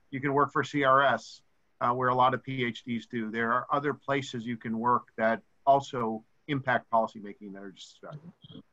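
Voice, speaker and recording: A man with an American accent talks at a moderate pace with fairly even intonation. His tone is bright and sharp, and his loudness swings widely. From rural US. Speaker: university government relations officer; panelist. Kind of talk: webinar presentation; webinar talk and answers. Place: home room. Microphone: webcam.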